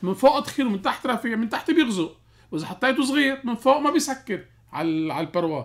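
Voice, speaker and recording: A man with a Lebanese accent, animated in tone, talking at a very fast pace with very wide pitch swings. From Lebanon. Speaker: cardiologist; guest. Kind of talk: radio health call-in show. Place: studio. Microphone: studio mic.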